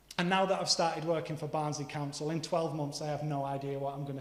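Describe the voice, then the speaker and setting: Delivered at a very fast pace in monotone, flat intonation, the speech comes with audible room echo and noticeable background noise. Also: man. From northeastern England, Middlesbrough. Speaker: preacher. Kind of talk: sermon.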